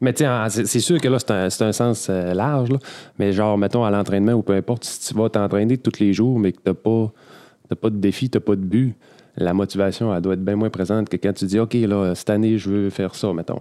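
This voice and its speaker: A man with a Quebec accent speaks at a fairly quick pace in a fairly low pitch, his dark, mellow tone and fairly even intonation captured in a dry, close sound with no echo on a very clean recording with a silent background. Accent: Québécois French. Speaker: podcast host, gym coach. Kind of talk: casual chat.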